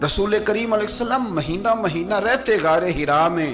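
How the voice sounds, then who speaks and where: A man's voice with music in the background. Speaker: Islamic scholar and preacher. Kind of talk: religious sermon.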